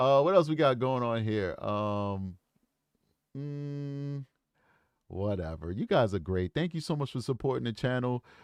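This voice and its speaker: At medium pitch, a man speaks at a fairly slow pace with long, frequent pauses, his tone animated and his intonation lively. The recording is very clean with a silent background and a dry, close sound with no echo. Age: 40s. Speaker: true crime YouTube host. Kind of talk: livestream chat with viewers. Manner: casual, animated.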